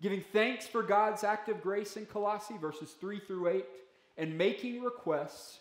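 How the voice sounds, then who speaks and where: A man talks at a fairly slow pace with audible room echo. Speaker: pastor. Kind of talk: sermon. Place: church. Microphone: podium.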